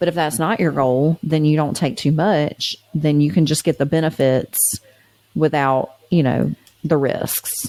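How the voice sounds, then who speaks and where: A woman talks at a fairly slow pace with a very deep, low pitch, a dark, mellow tone, very even loudness and ordinary pitch variation. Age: 40s. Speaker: podcast co-host. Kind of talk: casual chat.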